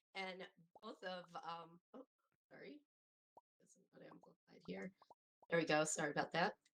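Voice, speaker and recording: A woman speaks at a moderate pace and a fairly low pitch, with vocal fry and ordinary pitch variation. Her loudness swings widely, and she takes long, frequent pauses. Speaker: virtual world builder. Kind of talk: panel discussion.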